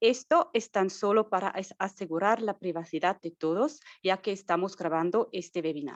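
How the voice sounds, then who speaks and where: Spoken with a non-native accent at a moderate pace, with hardly any pauses and ordinary pitch variation. The sound is dry and close, with no echo. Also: woman, medium pitch for a woman. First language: not Spanish (speaking Spanish). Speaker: marketing and communications staff, webinar host. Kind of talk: webinar introduction. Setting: Zoom webinar.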